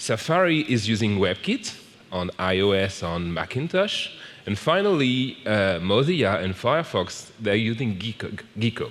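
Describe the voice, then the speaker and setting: Over noticeable background noise, a man with a French accent speaks in a fairly low pitch with lively intonation. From France. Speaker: software program manager, conference speaker. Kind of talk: conference talk. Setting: stage with audience. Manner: slow.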